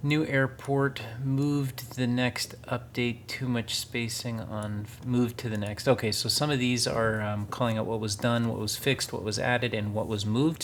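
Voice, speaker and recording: Medium in pitch, a man with an American accent speaks at a moderate pace with fairly even intonation. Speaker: gaming YouTuber. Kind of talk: gameplay commentary. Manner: enunciates carefully for voice recognition.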